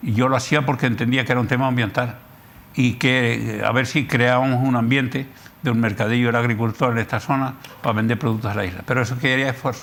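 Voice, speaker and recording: Very fast male speech at medium pitch, very even in loudness and fairly even in intonation. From Canary Islands, La Palma. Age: 80s+. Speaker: geographer and columnist. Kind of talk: TV interview.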